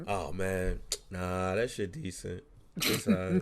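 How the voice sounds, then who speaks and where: Putting on a character voice with a Chicago accent, a man drawls at a fairly slow pace. His pitch is very deep and low, with ordinary pitch variation. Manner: casual drawl.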